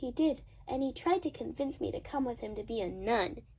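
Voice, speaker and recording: A female-sounding, put-on character voice talks at a high pitch and a fairly quick pace. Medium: stage play. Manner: light, joking.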